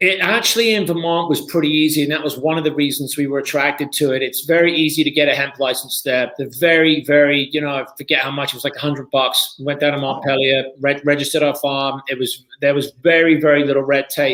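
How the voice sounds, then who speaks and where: This man has a British accent and a fairly high pitch. He talks very fast with fairly even intonation and hardly any pauses. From Britain. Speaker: TV pitchman; hemp farmer. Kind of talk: interview answer.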